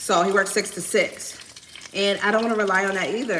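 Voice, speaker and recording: A woman speaks with an American accent. The recording has audible room echo and noticeable background noise. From Miami. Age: 40s. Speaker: lifestyle vlogger. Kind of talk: casual chat while cooking on livestream. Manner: loud.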